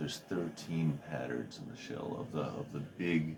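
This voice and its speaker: A man at a very deep, low pitch, against noticeable background noise. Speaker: podcaster. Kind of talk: casual monologue. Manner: rambling with fillers and hesitations.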